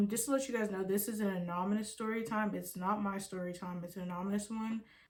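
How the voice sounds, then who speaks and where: Against noticeable background noise, a woman at medium pitch talks at a very fast pace. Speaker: storytime YouTuber. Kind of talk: casual chat to viewers. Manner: casual, filler-heavy.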